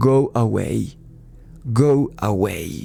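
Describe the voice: A man's put-on character voice at a medium pitch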